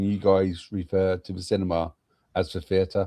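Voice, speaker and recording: In a British accent, a man speaks with a dark, mellow tone and fairly low pitch. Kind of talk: casual chat.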